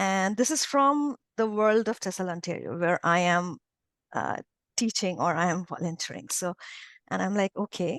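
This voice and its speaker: With a non-native accent, a woman of medium pitch speaks at a moderate pace with lively intonation, the sound dry and close with no echo over a quiet background. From India. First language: not English. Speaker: English teacher, former professor. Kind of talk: interview testimony. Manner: hesitant, many fillers and restarts.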